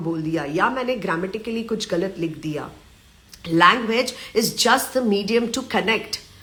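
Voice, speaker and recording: Over noticeable background noise and audible room echo, a woman speaks in an animated tone. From Maharashtra, India. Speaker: life coach, live-stream host. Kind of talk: live Q&A session. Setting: live stream. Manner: animated, motivational.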